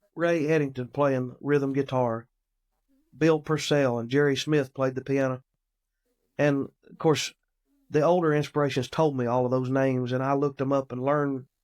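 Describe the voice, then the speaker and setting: A man with a Southern US accent, fairly high in pitch, monotone and flat, at a moderate pace with long, frequent pauses, on a very clean recording with a silent background. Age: 30s. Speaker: gospel musician. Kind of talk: interview. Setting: podcast.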